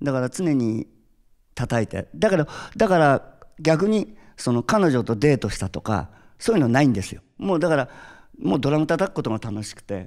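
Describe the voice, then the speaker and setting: A man speaks at a moderate pace in a fairly high pitch, his voice swinging very widely in pitch and showing big swings in loudness against a quiet background. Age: 60s. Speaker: drummer; interviewee. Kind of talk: interview; interview answer. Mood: cheerful, reflective. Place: stage. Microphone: handheld.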